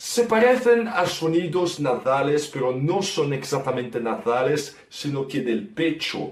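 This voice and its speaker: A man with a fairly high pitch talks at a fairly slow pace, his pitch swinging very widely, with hardly any pauses. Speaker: guest language explainer. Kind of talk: language lesson explanation.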